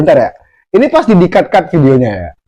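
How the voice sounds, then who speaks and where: Fairly quick speech from a man with a slight Javanese accent. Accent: slight Javanese accent picked up. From Sumatra, Indonesia (village). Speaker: vlogger. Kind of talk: casual vlog monologue. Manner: halting, stumbling.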